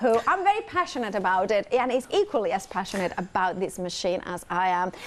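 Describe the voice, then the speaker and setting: A woman with a Spanish accent, very wide pitch swings and noticeable background noise. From Spain. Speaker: shopping channel presenter. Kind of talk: live shopping TV chat. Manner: fast; excitable.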